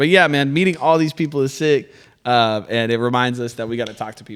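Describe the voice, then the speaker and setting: A man at a very fast pace, on a very clean recording with a silent background. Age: 20s. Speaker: rapper selling mixtapes. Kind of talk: casual chat. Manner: loud.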